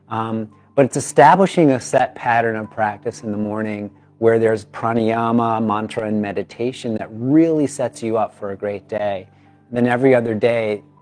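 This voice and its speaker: Over music in the background, a man with a medium pitch and ordinary pitch variation speaks in an upbeat, enthusiastic tone at a moderate pace. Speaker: yoga teacher. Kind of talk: casual talk to camera.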